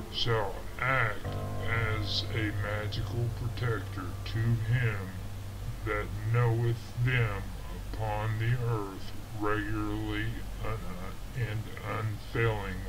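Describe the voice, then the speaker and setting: Over music in the background, a man talks at a very slow pace with long, frequent pauses and very even loudness. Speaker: narrator. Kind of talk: narration of an old text.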